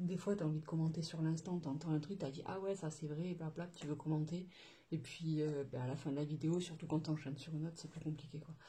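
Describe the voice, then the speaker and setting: At a fairly quick pace, a woman with a very deep, low pitch and a dark, mellow tone sounds somewhat breathy and keeps a monotone, flat intonation. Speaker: budgeting vlogger. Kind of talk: casual vlog chat. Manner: hesitant, many fillers.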